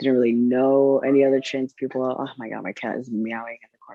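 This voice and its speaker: A man with an American accent talks at a fairly quick pace in a medium pitch. His intonation stays monotone and flat while his loudness swings widely. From Chicago, US Midwest. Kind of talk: interview. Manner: hesitant, many fillers.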